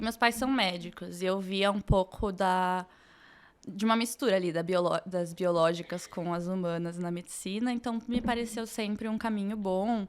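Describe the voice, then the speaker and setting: At a moderate pace, a normal speaking voice carries fairly even intonation on a very clean recording with a silent background. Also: woman, medium pitch for a woman. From Brazil, Curitiba. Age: 20s. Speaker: medical student. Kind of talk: podcast interview.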